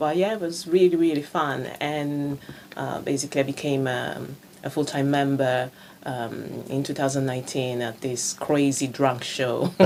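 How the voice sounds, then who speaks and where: In an Italian accent, a woman talks at a moderate pace with a very deep, low pitch. Her intonation stays fairly even over noticeable background noise. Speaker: improv actor. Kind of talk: radio interview.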